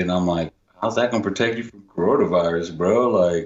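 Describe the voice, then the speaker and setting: Very fast and with fairly even intonation, a man with an American accent speaks in a very deep, low pitch. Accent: Texas accent, some Jersey. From New Jersey, Union City. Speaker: writer and musician. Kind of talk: casual chat.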